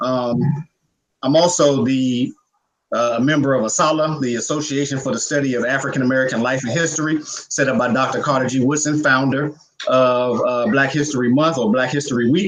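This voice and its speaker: Fairly quick delivery from a man with an unremarkable speaking voice, medium pitch and fairly even intonation. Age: young. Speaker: activist, nonprofit director. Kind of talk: panel self-introduction. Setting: panel discussion.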